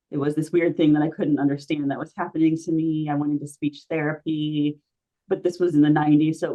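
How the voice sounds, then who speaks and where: Pitched very deep and low, a woman talks with an American accent. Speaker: artist and stuttering advocate. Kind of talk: conversational discussion. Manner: repetitions and filler words.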